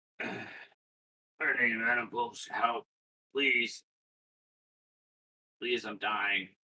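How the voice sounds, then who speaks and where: A raspy, put-on character voice moves at a very slow pace with long, frequent pauses. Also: man, medium pitch for a man. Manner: whimpering, pleading.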